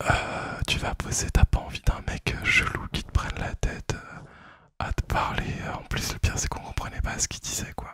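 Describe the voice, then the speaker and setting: A man is whispering. His pace is fairly slow. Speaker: ASMR creator. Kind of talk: storytelling to camera. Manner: whispered.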